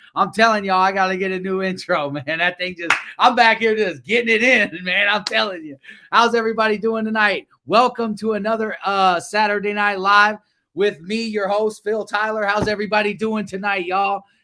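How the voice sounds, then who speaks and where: A man with an American accent uses a raised, projected voice at a high pitch, with a bright, sharp tone, fairly quick pace and fairly even intonation, on a very clean recording with a silent background. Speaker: livestream show host. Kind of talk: livestream talk show.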